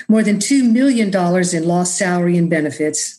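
She has an ordinary speaking voice with an American accent. Her pitch sits fairly low for a woman and varies in an ordinary way. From Texas (Austin, rural area). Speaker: podcast host, mental health peer advocate. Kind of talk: casual interview chat with personal testimony.

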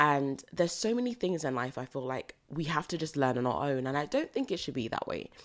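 A woman with a British accent speaks at a fairly quick pace in a very deep, low pitch. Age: 20s. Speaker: podcast host. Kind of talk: solo podcast monologue.

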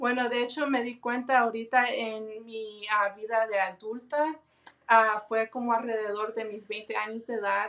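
Her voice fairly high and her intonation monotone and flat, a woman talks at a fairly slow pace. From Los Angeles, California. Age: 20s. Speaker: guest sharing personal testimony. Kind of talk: testimony.

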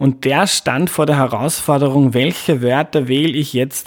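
The speaker has an ordinary speaking voice, talking at a moderate pace with ordinary pitch variation. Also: man. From Lower Austria, Mostviertel. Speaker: podcast host. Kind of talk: scripted narration; casual interview.

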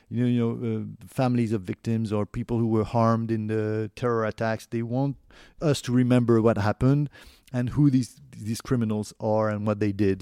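A man with a French accent, medium pitch, dark and mellow tone, fairly even intonation and moderate pace, in a dry, close recording without echo, very clean with a silent background. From France. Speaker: documentary producer and journalist. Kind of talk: interview. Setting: recorded at home. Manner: halting, many fillers.

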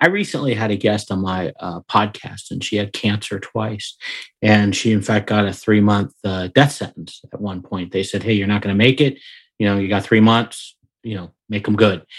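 A man with a normal speaking voice, fairly low in pitch with fairly even intonation at a moderate pace, on a very clean recording with a silent background. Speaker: podcast host. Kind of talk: interview conversation.

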